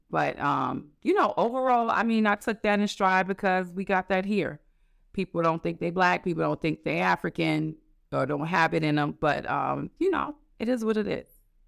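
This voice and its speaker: A woman at a moderate pace, dry and close with no echo, on a very clean recording with a silent background. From New York, the Bronx. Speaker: administrative assistant and traveler. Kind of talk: casual interview.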